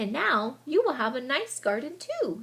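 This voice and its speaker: Using a put-on character voice, a woman talks at a moderate pace in a high pitch. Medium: read story. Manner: calm, reassuring.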